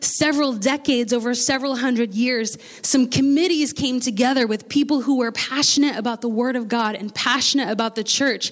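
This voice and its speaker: A woman with an American accent speaks at a high pitch and a moderate pace. Her pitch varies an ordinary amount, and there is noticeable background noise. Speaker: pastor. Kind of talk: sermon. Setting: church.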